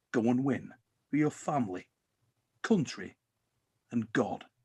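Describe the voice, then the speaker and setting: Putting on a character voice, a man booms at a medium pitch. He keeps a moderate pace. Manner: commanding, godlike.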